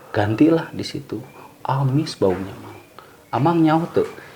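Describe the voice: A man speaks at a moderate pace with ordinary pitch variation, vocal fry and a slightly mellow tone. Audible room echo surrounds the voice.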